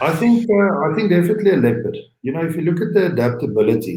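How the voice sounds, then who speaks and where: The tone is dark and mellow and somewhat breathy, in a South African accent. The intonation is lively. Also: man. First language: Afrikaans. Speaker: game lodge owner, entrepreneur. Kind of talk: interview. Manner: halting, many fillers and repeats.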